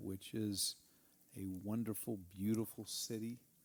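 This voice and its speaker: A man's dark, mellow voice at medium pitch in a Texan accent, at a fairly slow pace. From Texas, Snyder. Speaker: church member, former ministry worker. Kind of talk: testimony.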